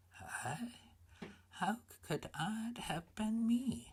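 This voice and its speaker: The speaker uses a put-on character voice. The pitch is fairly high. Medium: read story.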